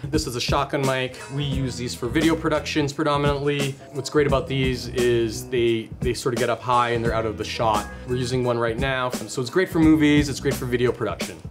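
A man at a fairly quick pace with hardly any pauses, clear music in the background. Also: ordinary pitch variation. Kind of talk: product explainer. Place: studio. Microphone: camera far.

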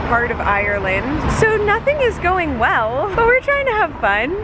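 Against noticeable background noise, a woman speaks in a raised, projected voice at a fairly slow pace. The sound is dry, with no echo. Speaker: travel vlogger. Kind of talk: casual vlog chat. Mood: frustrated but upbeat. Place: street. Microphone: phone near.

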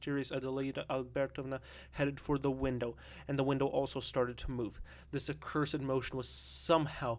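What plays is plain reading aloud.

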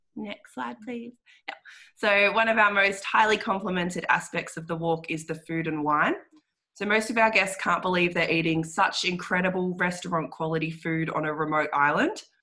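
Over a quiet background, a woman with an Australian accent speaks at a moderate pace, her fairly low pitch showing ordinary pitch variation. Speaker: guided walk tour representative. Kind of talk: webinar presentation. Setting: video call. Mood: warm, promotional. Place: home room. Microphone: video call.

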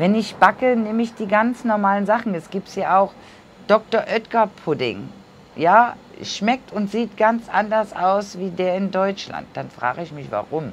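Over light background noise, a woman talks at a fairly slow pace with ordinary pitch variation and big swings in loudness. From Germany. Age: 50s. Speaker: vlogger; emigrant vlogger. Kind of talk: casual vlog monologue; casual vlog chat. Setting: sitting cross-legged on camera. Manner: chatty, with many fillers. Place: home room. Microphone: lapel.

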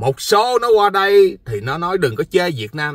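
In a quiet background and dry sound with no echo, a man speaks at a fairly slow pace in a bright, sharp, animated tone. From Vietnam. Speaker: vlogger. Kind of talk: casual monologue vlog. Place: car.

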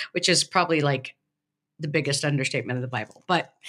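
Over a quiet background, a woman talks with a very deep, low pitch, a bright, sharp tone and ordinary pitch variation. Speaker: podcast co-host, professor. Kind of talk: podcast discussion on scripture. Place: home room. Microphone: video call.

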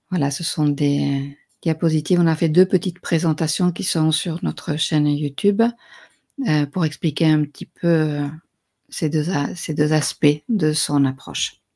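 A woman's very deep, low pitch in a dark, mellow tone, fairly slow and fairly even in intonation, over a quiet background. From Spain, Spanish father and French mother. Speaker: spiritual teacher; conference speaker. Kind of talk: lecture. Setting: livestream. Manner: halting. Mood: calm, reflective. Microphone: webcam.

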